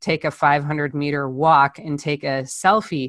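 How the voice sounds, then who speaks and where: A woman at a moderate pace, dry and close with no echo, over a quiet background. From Chicago area, US Midwest. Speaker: artist and activist. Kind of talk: interview.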